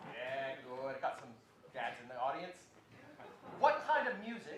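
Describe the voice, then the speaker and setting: The man's pitch swings very widely as room echo is audible around him. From South Australia, Adelaide. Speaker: concert host. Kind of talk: stage announcement. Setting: stage with audience. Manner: jokey.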